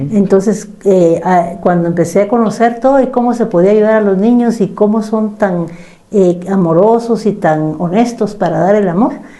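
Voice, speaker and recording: Speaking at a moderate pace with very even loudness, a woman with a medium-pitched voice shows ordinary pitch variation amid noticeable background noise and audible room echo. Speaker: psychologist. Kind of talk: casual chat.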